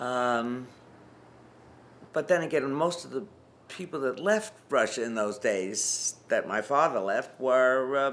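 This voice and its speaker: Lively in intonation, a man with a Brooklyn accent and medium pitch speaks at a very slow pace with long, frequent pauses. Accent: New York, Brooklyn. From Brooklyn, New York. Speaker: oral history interviewee. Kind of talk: interview testimony.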